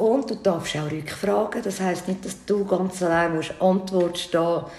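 Noticeable background noise and audible room echo surround a woman whose fairly low-pitched voice carries an animated tone. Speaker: podcast host. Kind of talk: casual interview chat.

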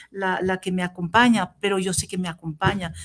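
A French accent at a moderate pace. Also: woman. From Tunisia, raised in southern France. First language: French (speaking Spanish). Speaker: professor. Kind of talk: interview. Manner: halting.

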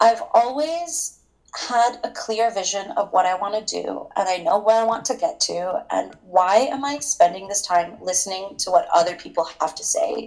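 With a Canadian accent, a woman speaks at a moderate pace in a fairly high voice that swings very widely in pitch. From Toronto, Canada. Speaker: escort. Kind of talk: casual interview.

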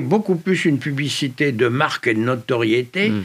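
His intonation moves in a lively way. This man's voice sits fairly high in pitch. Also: very clean recording, silent background. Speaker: former resistance fighter and advertising executive. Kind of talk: interview. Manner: halting.

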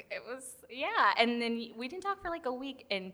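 This woman's fairly high voice has lively intonation, and noticeable background noise can be heard. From Puerto Rican family, raised in US South and Puerto Rico, mainly Florida. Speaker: actress and stand-up comedian. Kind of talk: casual chat. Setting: podcast studio.

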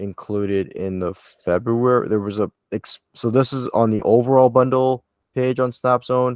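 A man with a plain, everyday voice at a moderate pace, fairly even intonation, dry, close sound with no echo and a quiet background. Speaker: podcast host. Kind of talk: casual podcast chat. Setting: recording from Toronto.

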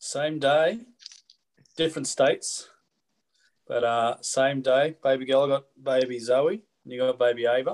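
A man with an Australian accent speaks at a fairly slow pace and fairly high pitch, with ordinary pitch variation. Long, frequent pauses break up his speech. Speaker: podcast host, fly fishing shop. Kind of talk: casual interview. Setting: video call.

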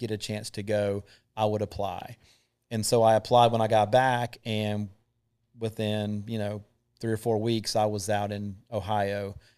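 Against a silent background on a very clean recording, a man with a Southern US accent speaks at a moderate pace in a fairly low, monotone, flat voice. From North Carolina (Thomasville). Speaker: combat veteran. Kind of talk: testimony.

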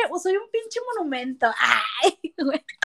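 A woman is speaking. Her pace is very slow. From Monterrey, Nuevo León, Mexico. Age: 20s. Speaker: podcast co-host. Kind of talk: casual chat. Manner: animated.

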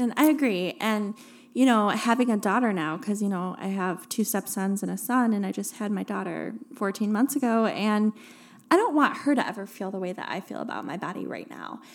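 A woman with a plain, everyday voice speaks at a fairly quick pace and medium pitch. Her pitch varies in an ordinary way, while her loudness swings widely. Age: 30s. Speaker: podcast co-host, mom. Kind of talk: casual chat.

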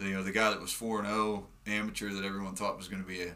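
A man with an American accent speaks at a fairly quick pace in a fairly low pitch, his bright, sharp tone delivered in a monotone, flat intonation with audible room echo. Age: 30s. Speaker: mixed martial arts fighter. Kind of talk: casual chat. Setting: studio.

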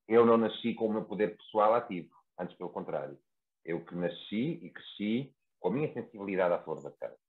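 With lively intonation, a man speaks at a fairly quick pace in a fairly low pitch. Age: 30s. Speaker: therapist. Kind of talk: casual chat.

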